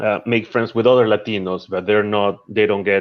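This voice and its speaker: A man with a Spanish accent speaks in a fairly low, monotone, flat voice at a moderate pace. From Peru. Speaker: chef and social media creator. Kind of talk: interview. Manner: halting, many repetitions.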